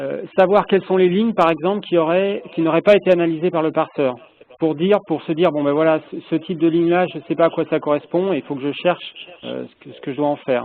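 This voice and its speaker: A man at a high pitch, with a fairly quick pace, big swings in loudness, fairly even intonation and noticeable background noise. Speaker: project stakeholder asking questions. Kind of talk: meeting discussion. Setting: phone call. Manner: speaks softly. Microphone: echo on the phone line.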